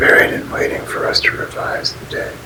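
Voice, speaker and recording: Someone whispers over noticeable background noise. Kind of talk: whispered ASMR reading of a spiritual book. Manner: whispered, soft.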